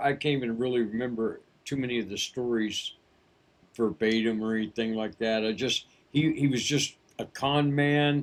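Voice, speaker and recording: In an ordinary speaking voice, a man talks at a moderate pace with fairly even intonation. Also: medium pitch for a man. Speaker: voice actor. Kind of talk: memoir storytelling, casual. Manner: casual, unscripted.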